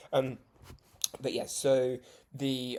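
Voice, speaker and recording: The speaker has a British accent, heard on a very clean recording with a silent background. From UK. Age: 20s. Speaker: vlogger, judo beginner. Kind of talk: casual vlog talk. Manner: hesitant, many fillers.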